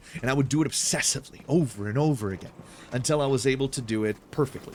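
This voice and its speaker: A man speaks very fast at a medium pitch. Noticeable background noise runs underneath. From Brazil. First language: Brazilian Portuguese. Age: 30s. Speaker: streamer and voice actor. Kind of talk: casual live-stream chat. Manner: animated storytelling with repetitions.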